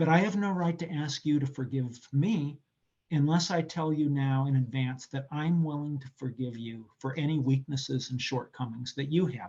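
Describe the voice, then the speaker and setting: A man with a fairly high, dark, mellow voice speaks at a moderate pace, somewhat breathy, with ordinary pitch variation. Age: 60s. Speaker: political science professor. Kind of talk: interview answer. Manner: reflective.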